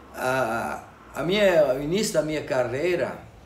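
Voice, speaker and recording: Noticeable background noise and audible room echo accompany a man speaking. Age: 60s. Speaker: electronics repair technician. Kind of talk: interview. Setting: electronics repair shop.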